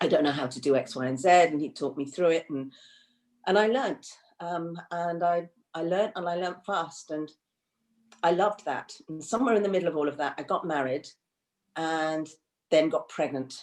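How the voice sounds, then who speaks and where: In an English accent, a woman speaks at a fairly quick pace with long, frequent pauses. Her pitch is fairly low, with ordinary variation. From England, of Indian family. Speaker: counsellor and psychotherapist. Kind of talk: interview conversation. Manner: hesitant, many fillers and repeats.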